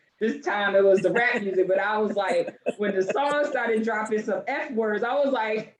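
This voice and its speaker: A woman speaks over noticeable background noise. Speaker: podcast host and trauma recovery coach. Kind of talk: casual chat.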